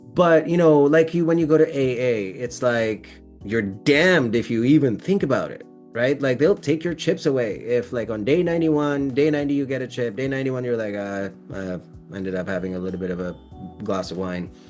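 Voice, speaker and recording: A man speaks at a medium pitch with very wide swings in his pitch. He talks at a fairly quick pace over music in the background. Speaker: sobriety program host. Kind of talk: interview host, casual conversation.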